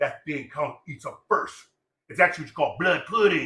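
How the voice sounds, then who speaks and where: Raised and projected, a man's voice races at a very fast pace, animated in tone and bright and sharp. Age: 60s. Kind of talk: casual chat.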